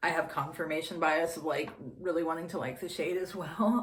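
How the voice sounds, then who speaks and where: A woman speaks with a fairly low pitch. Audible room echo surrounds her voice. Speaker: beauty vlogger. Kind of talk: casual chat. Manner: meandering; whispering.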